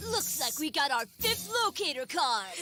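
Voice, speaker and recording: Music in the background accompanies a put-on character voice at a moderate pace. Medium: game stream. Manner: hammy, spooky menace.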